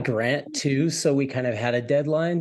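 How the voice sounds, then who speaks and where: Speaking with a plain, everyday voice, a man holds a medium pitch, a moderate pace and ordinary pitch variation. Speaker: guitarist, multi-instrumentalist. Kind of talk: interview answer.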